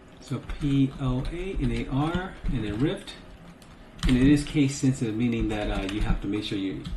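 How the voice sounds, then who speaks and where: Here a man speaks at a moderate pace with lively intonation. Noticeable background noise and audible room echo fill the recording. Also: medium pitch for a man. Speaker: gaming tutorial youtuber. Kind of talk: screen-recorded tutorial. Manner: casual with many fillers.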